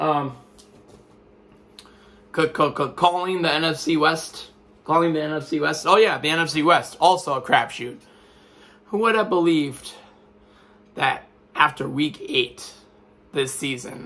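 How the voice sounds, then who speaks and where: Fairly high in pitch, a man talks at a fairly slow pace with long, frequent pauses. His tone is bright, sharp and animated, and his pitch varies in an ordinary way. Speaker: sports commentator. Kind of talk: casual talk to camera. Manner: animated, rambling.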